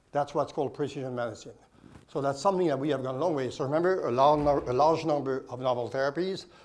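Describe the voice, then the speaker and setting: With audible room echo, a man with a fairly high pitch speaks at a very fast pace and with fairly even intonation. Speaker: oncologist. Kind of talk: conference presentation.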